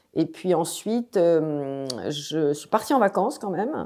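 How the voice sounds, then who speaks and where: This woman has a very deep, low pitch and a dark, mellow tone with vocal fry. The recording is very clean, with a silent background. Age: 60s. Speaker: cancer patient. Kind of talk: testimony. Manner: hesitant, many fillers.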